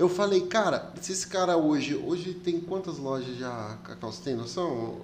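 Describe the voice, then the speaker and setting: Amid noticeable background noise, a man with a high pitch speaks at a moderate pace, with lively intonation and big swings in loudness. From Brazil, came to Rondônia from elsewhere. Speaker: podcast host. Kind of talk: casual interview chat. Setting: studio.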